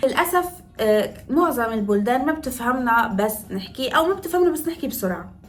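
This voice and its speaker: With noticeable background noise behind her, a woman talks at a fairly quick pace in an animated tone, her high pitch swinging very widely. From northern Morocco, Tetouan. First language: Moroccan Darija (speaking Arabic). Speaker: makeup artist and lifestyle vlogger. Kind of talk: casual vlog tutorial.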